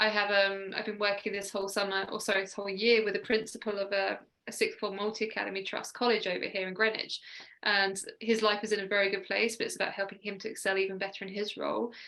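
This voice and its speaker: Talking at a very fast pace in a southern English accent, a woman holds a medium pitch with monotone, flat intonation. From southern England (Sussex). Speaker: mindset coach. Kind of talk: radio interview. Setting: video call.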